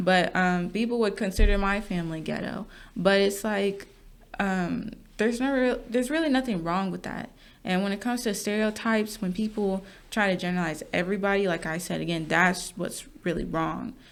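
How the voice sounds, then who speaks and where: This is an ordinary speaking voice with an American accent, moving at a fairly quick pace. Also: woman, medium pitch for a woman, ordinary pitch variation. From US Midwest, Wisconsin suburbs. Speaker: podcast co-host. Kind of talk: casual chat.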